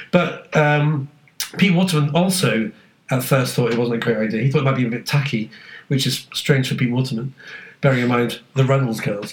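A man with a British accent speaks at a fairly quick pace in a medium pitch. His voice is somewhat breathy, with ordinary pitch variation. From UK. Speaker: podcast co-host. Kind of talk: casual chat.

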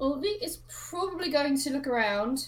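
Over light background noise, a woman does a high-pitched, put-on character voice at a moderate pace.

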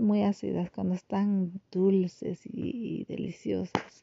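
Pitch moves in an ordinary way. The speaker is a woman. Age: 40s. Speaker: podcaster. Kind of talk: casual monologue. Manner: halting, many repetitions.

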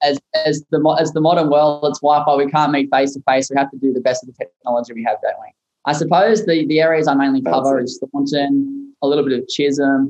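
With an Australian accent, a man talks at a fairly quick pace in a fairly high voice, with hardly any pauses. His intonation is fairly even, but his loudness swings widely. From Maitland, New South Wales, Australia. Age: 20s. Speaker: real estate agent. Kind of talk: casual interview.

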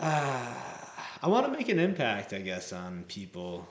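A fairly low-pitched man at a fairly slow pace, ordinary pitch variation, audible room echo. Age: 20s. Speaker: singer-songwriter. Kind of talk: casual chat. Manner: halting.

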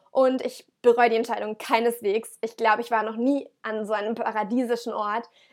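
A woman, fairly high in pitch and enthusiastic in tone, at a moderate pace with hardly any pauses. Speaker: podcast host. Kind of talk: casual monologue. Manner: halting, self-correcting.

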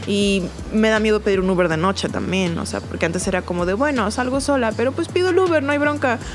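Against noticeable background noise, a woman speaks at a very fast pace. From Baja California, Mexico (Ensenada). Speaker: stage actress. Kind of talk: interview. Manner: halting, repeats words.

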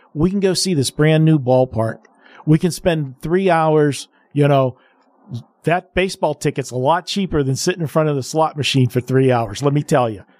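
Recorded very cleanly against a silent background, with a dry, close sound and no echo, a man has an unremarkable speaking voice, a fairly high pitch, ordinary pitch variation and a fairly quick pace. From Pittsburgh, US. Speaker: guest radio host. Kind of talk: sports talk radio.

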